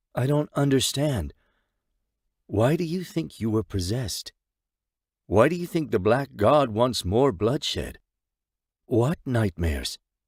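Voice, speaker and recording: In a put-on character voice, a man of medium pitch speaks at a fairly slow pace with long, frequent pauses, on a very clean recording with a silent background. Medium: read story. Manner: calm, measured.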